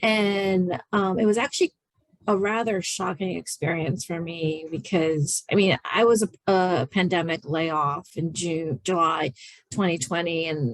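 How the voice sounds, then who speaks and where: The recording is dry and close, with no echo. A woman with a normal speaking voice talks in a fairly low pitch with ordinary pitch variation. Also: fairly slow pace. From rural Maryland, US. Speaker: architect panelist. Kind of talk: webinar panel discussion.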